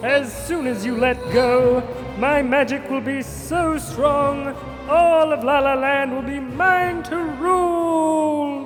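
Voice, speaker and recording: A cartoonish character voice with a high pitch moves at a very slow pace over loud music in the background. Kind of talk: children's puppet show dialogue.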